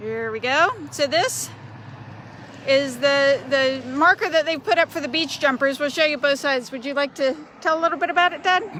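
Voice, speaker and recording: A high-pitched woman with an American accent, voice raised and projected, at a moderate pace with ordinary pitch variation, over noticeable background noise. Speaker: shop owner, tour guide. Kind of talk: casual walking tour. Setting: outdoors.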